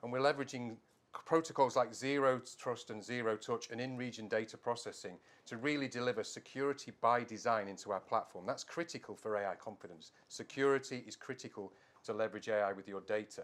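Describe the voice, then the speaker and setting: Delivery runs at a fairly quick pace. It comes in a British accent. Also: man. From UK. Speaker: tech company director. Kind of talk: trade show interview.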